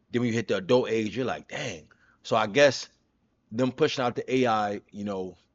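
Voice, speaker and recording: An animated tone in a New York accent, at a moderate pace with ordinary pitch variation. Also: man, medium pitch for a man. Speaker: streamer reacting to a video. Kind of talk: casual reaction commentary.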